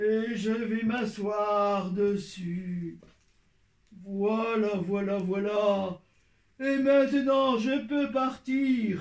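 A cartoonish character voice talks at a very slow pace. Long pauses break up the speech often. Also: man, high pitch for a man. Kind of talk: children's puppet show. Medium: puppet.

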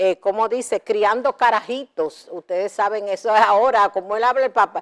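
A woman speaks at a fairly high pitch. Her background is quiet. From Dominican Republic. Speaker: TV show host. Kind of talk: TV entertainment news. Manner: animated. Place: studio. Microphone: lapel.

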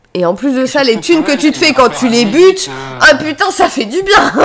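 Moderate pace, very wide pitch swings, and a high pitch from a woman. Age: 20s. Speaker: video game streamer. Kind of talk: live stream chat. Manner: animated. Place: home room.

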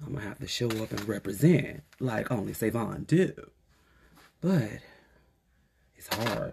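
Speaking slowly with long, frequent pauses, a man uses a medium pitch and a vocal fry. His intonation is lively and his tone animated. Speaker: beauty vlogger. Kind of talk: casual get-ready-with-me vlog.

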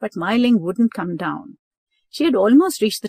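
Over a quiet background, the clip carries a natural reading voice.

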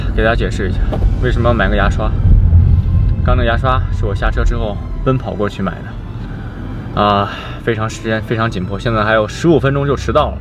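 Clear music plays in the background while a man speaks at a very fast pace. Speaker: vlogger. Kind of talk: casual vlog chat. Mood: slightly hurried. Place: car. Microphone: camera far.

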